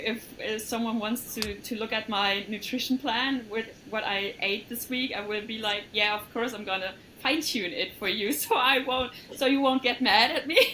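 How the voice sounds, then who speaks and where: A woman's fairly high voice with a German accent, ordinary pitch variation and a moderate pace, over noticeable background noise. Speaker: coaching client. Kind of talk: testimony. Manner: hesitant.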